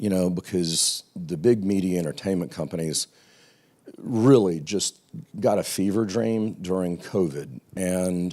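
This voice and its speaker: Speaking with an American accent at a fairly slow pace, a man has a very deep, low pitch and a dark, mellow tone. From US South. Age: 60s. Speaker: television executive. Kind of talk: panel interview.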